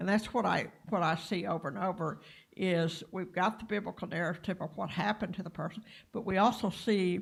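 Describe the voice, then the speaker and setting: On a very clean recording with a silent background, a woman with a Texas accent speaks at a fairly quick pace in a medium, somewhat breathy voice with fairly even intonation. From Texas, Clarendon. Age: 60s. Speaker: workshop participant. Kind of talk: personal testimony. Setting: live-streamed training session. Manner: halting.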